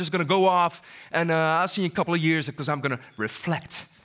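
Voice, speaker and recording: On a very clean recording with a silent background, a man speaks at a very fast pace. His tone is animated. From Netherlands. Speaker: motivational speaker. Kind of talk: keynote talk. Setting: stage with audience.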